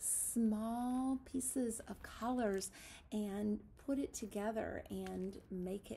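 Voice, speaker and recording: A somewhat breathy woman's voice with ordinary pitch variation over light background noise. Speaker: teacher. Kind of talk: craft tutorial for young children. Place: classroom. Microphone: phone near.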